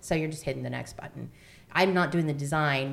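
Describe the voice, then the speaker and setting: Recorded with audible room echo, a woman with an American accent speaks at a very deep, low pitch with ordinary pitch variation. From Florida. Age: 40s. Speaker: podcast host, theatre mom. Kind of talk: casual chat.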